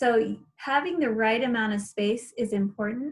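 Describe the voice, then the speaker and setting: A woman's fairly high voice, somewhat breathy, its pitch varying in an ordinary way. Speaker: gardening class instructor. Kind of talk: online class presentation.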